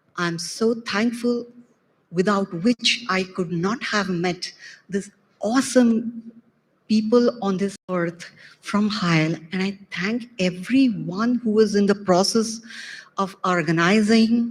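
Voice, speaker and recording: At a very slow pace, a somewhat breathy woman with a non-native accent speaks with ordinary pitch variation. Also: medium pitch for a woman. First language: not Arabic. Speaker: doctor attending conference. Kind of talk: audience testimony of gratitude.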